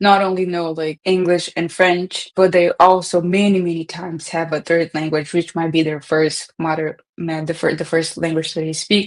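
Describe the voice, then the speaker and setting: Against a quiet background, a woman with a Portuguese accent speaks at a moderate pace in a fairly low voice. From Brazil. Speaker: data professional. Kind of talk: podcast interview. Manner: casual, many fillers.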